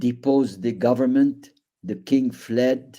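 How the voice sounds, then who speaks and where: A man with an Arabic accent speaks at medium pitch with ordinary variation and a dark, mellow tone. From Iraq, Baghdad. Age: 80s+. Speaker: Holocaust survivor. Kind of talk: testimony.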